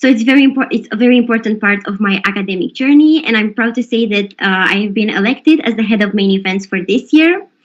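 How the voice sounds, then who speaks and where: At a very fast pace, a woman speaks in a fairly high voice with lively intonation. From Romania. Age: 20s. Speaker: law student event host. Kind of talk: event introduction.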